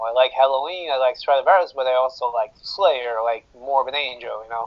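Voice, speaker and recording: Speaking with a Brazilian accent, a man talks at a fairly quick pace in a fairly high pitch with ordinary pitch variation. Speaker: metal guitarist. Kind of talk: interview. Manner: hesitant, many fillers.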